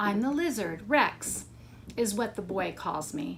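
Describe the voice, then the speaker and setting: A woman's put-on character voice at medium pitch, fairly slow pace, and clear background noise. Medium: read story.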